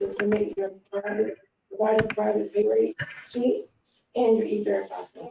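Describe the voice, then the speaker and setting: A soft-spoken woman talks at a moderate pace. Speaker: early learning program staff. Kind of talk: work meeting presentation. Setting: conference meeting.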